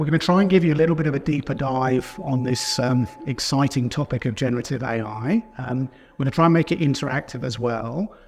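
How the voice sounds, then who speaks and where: A man with a British accent speaks at medium pitch and a fairly quick pace, with hardly any pauses. His pitch varies in an ordinary way, and there is noticeable background noise. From UK. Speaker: company founder and session moderator. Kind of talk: conference presentation.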